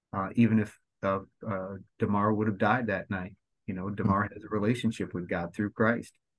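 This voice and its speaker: Fairly low-pitched male voice, monotone and flat, at a fairly quick pace. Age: 50s. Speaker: football team chaplain. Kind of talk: casual interview.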